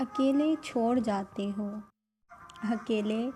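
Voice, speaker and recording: With music in the background, a woman speaks in a fairly high pitch. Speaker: radio jockey. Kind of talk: poetry reading.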